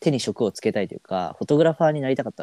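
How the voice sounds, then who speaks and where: A man speaks in a dark, mellow tone. The recording is very clean with a silent background, and the sound is dry and close with no echo. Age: 20s. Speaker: travel photographer. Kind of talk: casual chat.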